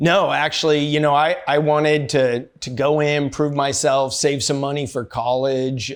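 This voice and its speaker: A man with an American accent, fairly high in pitch, at a fairly slow pace with hardly any pauses. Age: 60s. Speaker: army veteran and entrepreneur. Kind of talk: interview. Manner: casual, hesitant with fillers.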